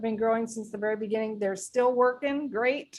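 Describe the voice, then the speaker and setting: Her intonation fairly even, a woman talks with a fairly high pitch. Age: 60s. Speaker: wellness product distributor. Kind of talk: online presentation. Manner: halting.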